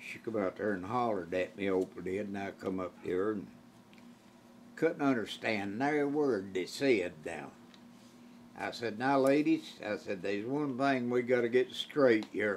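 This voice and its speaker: A man speaks at a fairly slow pace with an Appalachian accent and lively intonation. His pitch is fairly low, and there is light background noise. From Eastern Kentucky, Appalachia. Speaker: old-time musician. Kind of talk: storytelling interview answer. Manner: humorous, folksy. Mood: amused, joking. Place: home room.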